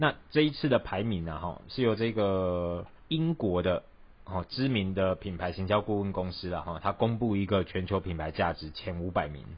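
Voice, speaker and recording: With a Taiwanese accent, a man speaks at a moderate pace in a very deep, low pitch with lively intonation. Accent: Taiwanese Mandarin. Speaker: podcast co-host. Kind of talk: casual chat.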